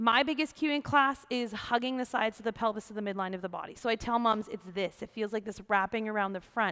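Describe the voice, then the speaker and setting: Against a quiet background, a woman with fairly high pitch speaks at a fairly quick pace in an animated, bright, sharp tone with ordinary pitch variation. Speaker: yoga teacher. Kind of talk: tutorial. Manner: fast. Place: empty room.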